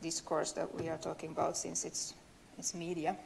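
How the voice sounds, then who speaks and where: This is a woman speaking. She has a Swedish accent. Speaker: university lecturer and linguist. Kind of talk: conference talk. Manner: hesitant, many fillers and repetitions.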